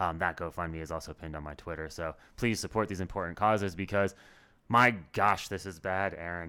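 This man has an American accent and a very deep, low pitch. His tone is bright and sharp, with fairly even intonation. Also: fairly quick pace, very clean recording, silent background. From US Rocky Mountain West. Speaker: podcast co-host. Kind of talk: casual political podcast chat.

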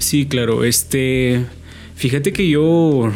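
A man speaks with a Guatemalan accent. Music plays in the background. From Guatemala, San Marcos. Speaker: university student and rapper. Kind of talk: interview.

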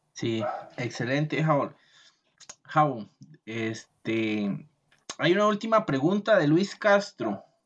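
The speech comes at a very slow pace, broken by long, frequent pauses. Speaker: podcast host. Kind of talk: podcast interview.

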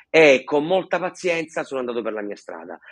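Lively in intonation and passionate in tone, a man speaks at a fairly quick pace. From Sicily. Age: 40s. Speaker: stuttering therapy center founder, stutterer. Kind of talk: casual interview. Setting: video call. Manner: fluent, passionate, occasional hesitations.

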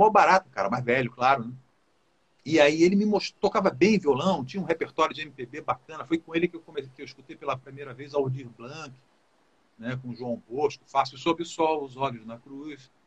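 A man with a normal speaking voice talks at a moderate pace with lively intonation and big swings in loudness. The sound is dry and close, with no echo. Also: fairly high pitch for a man. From Rio de Janeiro, Brazil. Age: 60s. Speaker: musician and music producer. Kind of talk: casual chat.

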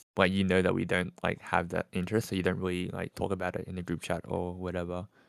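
Here is a man speaking. His pitch is very deep and low. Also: very clean recording, silent background. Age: 20s. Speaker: podcast host. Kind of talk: casual chat.

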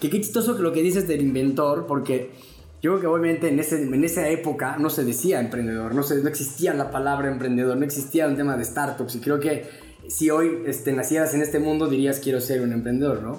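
At a fairly quick pace, a man with a fairly high pitch and ordinary pitch variation keeps his loudness very even, with audible room echo. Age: 30s. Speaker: podcast host. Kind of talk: casual interview. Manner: halting, with many fillers.

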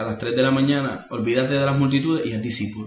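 Talking at a very fast pace, a man with a medium-pitched voice keeps fairly even intonation amid audible room echo and noticeable background noise. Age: 30s. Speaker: missionary leader and preacher. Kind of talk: interview conversation.

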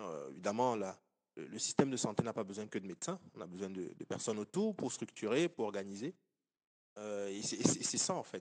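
A man with an ordinary speaking voice and fairly low pitch talks at a moderate pace with lively intonation, in a dry, close sound with no echo. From Cameroon. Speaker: engineer and entrepreneur. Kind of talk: interview.

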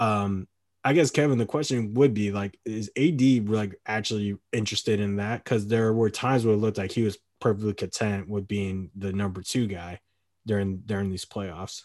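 An unremarkable speaking voice from a man at a moderate pace, on a very clean recording with a silent background. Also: fairly low pitch for a man, ordinary pitch variation. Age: 30s. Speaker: sports podcast host. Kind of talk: casual chat.

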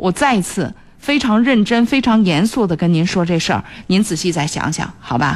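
A woman's pitch swings very widely as she keeps a moderate pace. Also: medium pitch for a woman. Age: 40s. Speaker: radio host. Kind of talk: radio call-in advice show.

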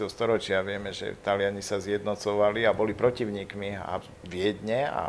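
The man's voice sits fairly low and keeps a moderate pace. He speaks with flat, monotone intonation. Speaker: historian. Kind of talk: interview.

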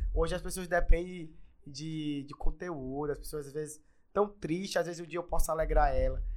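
A high-pitched man at a moderate pace, fairly even intonation and big swings in loudness. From Brazil, Maranhão (Imperatriz). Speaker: businessman and digital influencer. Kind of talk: casual interview chat.

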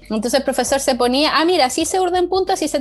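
Talking at a very fast pace, a woman with a high pitch uses ordinary pitch variation over noticeable background noise. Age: 30s. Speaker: knitting teacher and designer. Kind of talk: casual interview.

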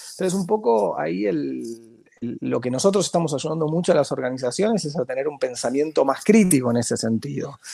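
Talking at a fairly quick pace, a man swings his pitch very widely. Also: fairly high pitch for a man. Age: 40s. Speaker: marketing professor and consultant. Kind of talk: interview conversation. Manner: halting, frequent repetitions.

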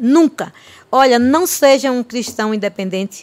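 A woman with an ordinary speaking voice, a fairly slow pace and ordinary pitch variation. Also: dry, close sound with no echo. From Bahia backlands, northeast Brazil (Olindina). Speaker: pastor. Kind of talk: testimony.

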